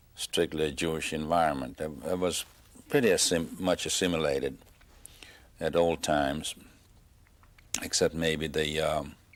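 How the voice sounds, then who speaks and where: Speaking in a Hungarian accent at a moderate pace, a man with a very deep, low pitch uses vocal fry, fairly even intonation and long, frequent pauses. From Hungary, Tokaj area. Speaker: Holocaust survivor. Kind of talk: oral history interview. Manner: halting, many fillers.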